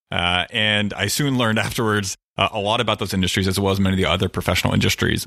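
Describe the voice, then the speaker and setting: The voice has a bright, sharp tone and a very fast pace. The recording is very clean, with a silent background. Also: man. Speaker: data analytics manager. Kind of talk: interview conversation.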